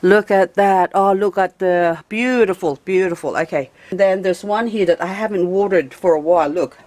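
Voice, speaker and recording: A woman's animated voice with ordinary pitch variation and hardly any pauses, dry and close with no echo, amid noticeable background noise. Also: medium pitch for a woman, moderate pace. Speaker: gardening vlogger. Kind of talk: casual garden tour.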